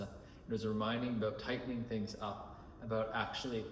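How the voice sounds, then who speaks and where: A man talks at a fairly low pitch with monotone, flat intonation. There is audible room echo and noticeable background noise. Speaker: life coach recording personal reflection. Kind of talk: spoken self-reflection monologue. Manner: fast.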